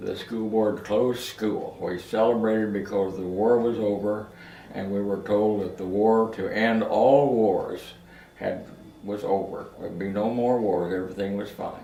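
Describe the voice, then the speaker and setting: In a Midwestern American accent, a man talks fairly slowly in a fairly low, flat monotone, with noticeable background noise and audible room echo. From Kansas. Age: 90s. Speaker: family elder telling life stories. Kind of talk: oral history interview. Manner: halting.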